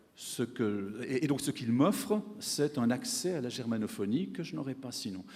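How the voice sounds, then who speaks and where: Speaking at a moderate pace with hardly any pauses, a man with a medium-pitched voice makes very wide swings in pitch. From French-speaking Switzerland. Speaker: economics professor. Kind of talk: panel discussion answer; conference speech. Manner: hesitant, many fillers and repetitions.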